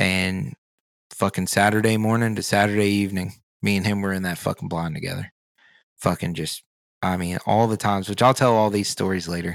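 A man with an American accent speaks at a fairly quick pace in a fairly low pitch, with ordinary pitch variation. He has an ordinary speaking voice, and the recording is very clean with a silent background. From rural Virginia, Blue Ridge mountains. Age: 30s. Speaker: podcast co-host. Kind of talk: casual chat. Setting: in person at a table.

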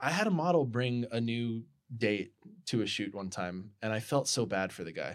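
A man speaks with lively intonation and an American accent at a moderate pace in an unremarkable speaking voice. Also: medium pitch for a man. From US Midwest (Colorado, rural Nebraska). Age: 30s. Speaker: photographer and podcast host. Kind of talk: casual chat.

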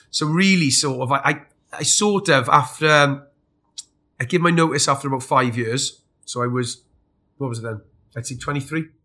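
His tone is bright and sharp, and this man's pitch sits fairly high with ordinary variation. He keeps a moderate pace broken by long, frequent pauses. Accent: South Welsh. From South Wales. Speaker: army veteran and fitness business owner. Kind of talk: interview. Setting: recorded in Scotland.

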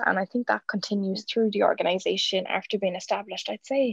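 A woman speaks in a Cork accent. The sound is dry and close, with no echo. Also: quiet background. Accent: Cork Irish. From Ireland, County Cork. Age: 20s. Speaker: youth volunteer and legal secretary. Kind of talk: interview.

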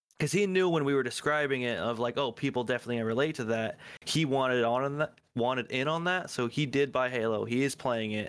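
With a plain, everyday voice, a man talks at a fairly quick pace and medium pitch, keeping very even loudness, ordinary pitch variation and hardly any pauses. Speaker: podcast co-host. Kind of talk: casual chat about video games.

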